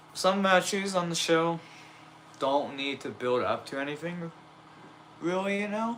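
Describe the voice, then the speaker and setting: A high male voice with ordinary pitch variation, a fairly slow pace and long, frequent pauses, over noticeable background noise. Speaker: wrestling toy fed streamer. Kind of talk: casual live stream chat. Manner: casual, hesitant with fillers.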